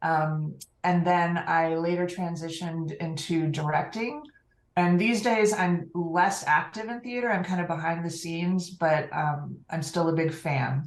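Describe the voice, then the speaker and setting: A woman with a General American accent, fairly low pitch, ordinary pitch variation and a fairly slow pace, with audible room echo. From California. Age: 50s. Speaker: online community program manager. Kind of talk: interview.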